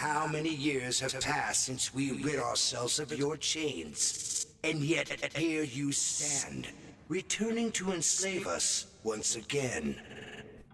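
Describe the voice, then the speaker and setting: Putting on a character voice, a man talks at a very slow pace and fairly high pitch with lively intonation, very even loudness and hardly any pauses, amid clear background noise. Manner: calm, serene.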